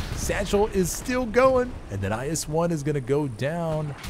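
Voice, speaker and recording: Noticeable background noise sits behind a man whose high-pitched, animated voice moves at a fairly slow pace. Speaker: esports commentator. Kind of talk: live sports-style game commentary. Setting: studio booth commentary. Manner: animated, excitable play-by-play.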